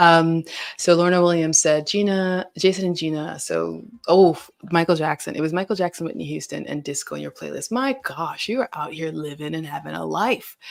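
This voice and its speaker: Here is a plain, everyday voice at a moderate pace with ordinary pitch variation. The recording is very clean, with a silent background. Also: woman, fairly low pitch for a woman, big swings in loudness. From US South. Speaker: livestream host. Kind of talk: casual chat. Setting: livestream. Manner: casual, filler-heavy.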